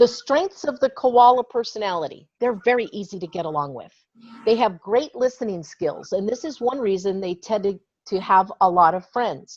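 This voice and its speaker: A woman with an ordinary speaking voice talks at a moderate pace and fairly high pitch, her intonation lively and her loudness swinging widely. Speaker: trainer. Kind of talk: online training presentation.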